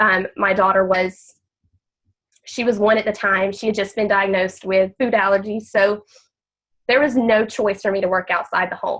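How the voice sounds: At a moderate pace, a woman speaks with a nasal, fairly bright tone, a medium pitch and fairly even intonation.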